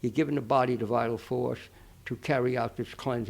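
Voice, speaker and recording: Vocal fry runs through this man's medium-pitched voice. His intonation is monotone and flat, his pace fairly quick. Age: 80s+. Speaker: nutrition expert. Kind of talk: interview answer.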